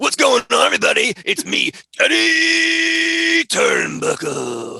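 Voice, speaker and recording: A man performs a put-on character voice. His pace is fairly slow. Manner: upbeat, put-on greeting.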